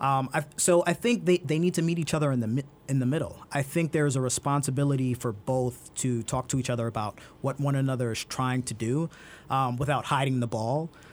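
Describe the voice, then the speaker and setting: Here a man talks at a fairly quick pace. His voice sits at a medium pitch. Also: ordinary pitch variation. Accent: New York. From Brooklyn, New York. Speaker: transportation expert. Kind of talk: interview.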